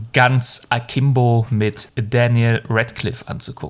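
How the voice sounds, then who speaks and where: A man at a medium pitch speaks at a very slow pace with fairly even intonation. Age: 30s. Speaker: film podcast host. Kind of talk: casual chat.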